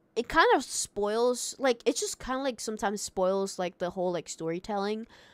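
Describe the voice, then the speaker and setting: A woman with a non-native accent speaks at a moderate pace in a fairly high pitch. The recording is very clean and dry, close with no echo, and the background is silent. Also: ordinary pitch variation. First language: not English. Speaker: streamer. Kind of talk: live stream chat. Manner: halting.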